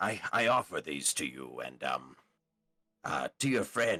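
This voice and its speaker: Putting on a raspy character voice, a man speaks fairly slowly at a fairly low pitch with very wide pitch swings. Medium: actual play. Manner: halting, earnest.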